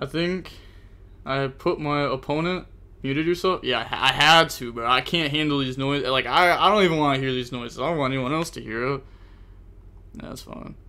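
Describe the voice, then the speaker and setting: Speaking at a fairly quick clip, a man uses a fairly high pitch and a bright, sharp tone with ordinary pitch variation. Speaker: gaming streamer. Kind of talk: live gameplay commentary. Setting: live stream. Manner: animated; can't raise voice volume. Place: home room.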